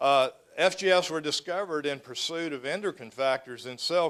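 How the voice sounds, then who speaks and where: A man speaks with a Texas accent. His pitch variation is ordinary. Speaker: professor. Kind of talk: lecture. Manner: fast; halting, many fillers.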